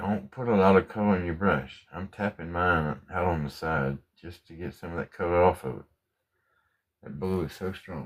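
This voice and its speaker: Soft-spoken and relaxed in tone, a man with a very deep, low pitch talks at a moderate pace, with ordinary pitch variation and big swings in loudness. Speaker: painting instructor. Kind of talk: tutorial.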